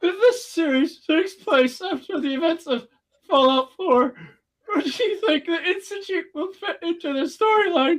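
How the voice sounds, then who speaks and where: At a moderate pace, a put-on character voice squeaks along at an extremely high pitch. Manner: annoying, mocking.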